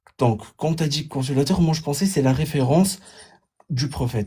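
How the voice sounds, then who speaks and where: The recording is very clean with a silent background. A man speaks in a dark, mellow tone that is somewhat breathy. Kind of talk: heated debate. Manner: halting, repetitive.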